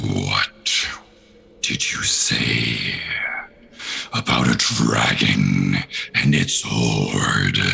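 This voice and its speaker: A man uses a put-on character voice, growling at a very deep, low pitch. He speaks at a very slow pace. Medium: actual play.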